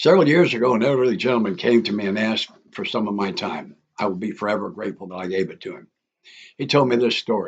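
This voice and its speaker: His intonation is lively. This man rattles off his words very fast. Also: medium pitch for a man. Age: 80s+. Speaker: author. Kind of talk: reading aloud.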